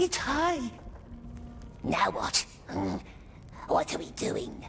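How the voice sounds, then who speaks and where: A put-on character voice moves at a very slow pace while clear music plays in the background. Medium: video game. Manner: muttering, self-addressing, third person.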